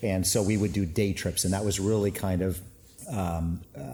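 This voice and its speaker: A man with a very deep, low voice speaks at a fairly quick pace. His tone is dark, mellow and somewhat breathy, with fairly even intonation. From USA, moved from Canada at age five. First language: Finnish. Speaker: winemaker and winery owner. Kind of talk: casual interview. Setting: winery tank room. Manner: hesitant, many fillers.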